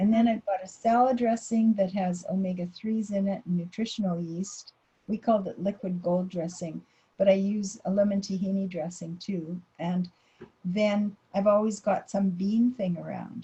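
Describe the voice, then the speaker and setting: Her medium-pitched voice has a dark, mellow tone, somewhat breathy, with fairly even intonation at a moderate pace. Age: 70s. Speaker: dietitian. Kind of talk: presentation Q&A.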